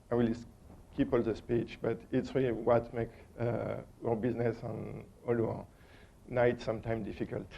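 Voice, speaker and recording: A man with a strong French accent speaks at a moderate pace with long, frequent pauses, at a medium pitch for a man with vocal fry. His tone is dark and mellow, his intonation monotone and flat, and there is audible room echo. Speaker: conference speaker, operations engineer. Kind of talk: conference presentation. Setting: stage with audience. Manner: halting, many fillers.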